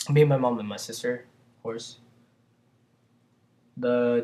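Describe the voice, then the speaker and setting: A man speaks at a medium pitch. He has a Vietnamese accent. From Vietnam, Saigon. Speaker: immigrant answering student questions. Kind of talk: casual q&a monologue. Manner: hesitant, with fillers.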